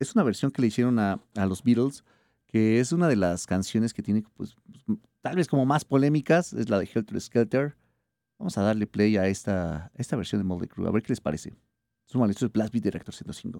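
Medium in pitch, a man's voice carries a dark, mellow tone and lively intonation at a fairly quick pace. The sound is dry and close, with no echo. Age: 30s. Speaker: radio host. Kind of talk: radio show.

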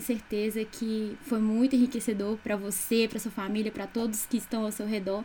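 A woman speaks at a moderate pace with a fairly high pitch. Her intonation stays flat and monotone. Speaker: student podcast co-host. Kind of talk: interview.

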